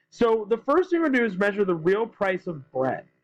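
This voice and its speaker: A loud man with lively intonation at a fairly quick pace. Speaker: high school economics teacher. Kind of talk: lecture. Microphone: tablet recording, may sound weird or quiet.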